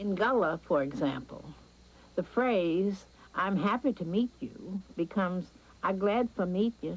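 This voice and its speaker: A woman speaks in an unremarkable speaking voice at a medium pitch. Her pace is fairly slow and her intonation lively. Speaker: documentary narrator. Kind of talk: documentary narration.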